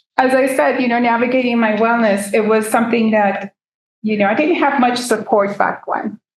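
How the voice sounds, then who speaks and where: With a Spanish accent, a woman speaks at a fairly high pitch and very even loudness. Her intonation is fairly even, broken by long, frequent pauses. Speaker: peer self-advocacy speaker. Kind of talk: seminar talk, personal testimony.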